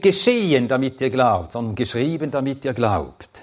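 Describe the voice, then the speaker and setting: The pitch of this man's voice swings very widely. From Sweden, then Switzerland from age ten. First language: Swedish (speaking German). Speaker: Bible teacher. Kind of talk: lecture.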